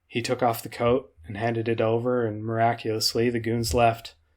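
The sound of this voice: This is an unforced reading voice. The words are simply read aloud.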